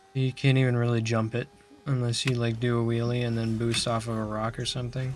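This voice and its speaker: Over noticeable background noise, a man speaks very fast at a medium pitch in a flat, monotone way. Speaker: gaming streamer. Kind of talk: casual gameplay commentary.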